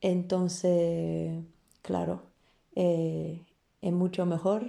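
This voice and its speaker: A woman speaks with a Polish accent. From Poland, Warsaw. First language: Polish (speaking Spanish). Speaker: flamenco dancer and teacher. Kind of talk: interview. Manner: halting, with repetitions.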